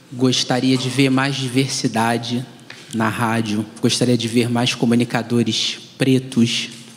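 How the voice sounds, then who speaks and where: A man speaks at a fairly slow pace in a monotone, flat intonation. There is noticeable background noise. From Brazil, Rio de Janeiro west zone. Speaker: journalist and radio presenter. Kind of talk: panel discussion.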